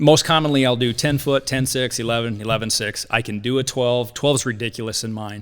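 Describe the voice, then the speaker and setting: A man at medium pitch with an American accent, fairly quick and fairly even in intonation, with hardly any pauses. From US Midwest, Quad Cities (Iowa/Illinois). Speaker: hammock maker and firefighter. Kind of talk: casual podcast interview.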